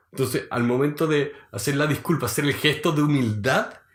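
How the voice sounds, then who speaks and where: With a Chilean accent, a somewhat breathy man speaks at a moderate pace and fairly high pitch, his pitch variation ordinary. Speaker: podcast co-host. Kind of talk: casual chat.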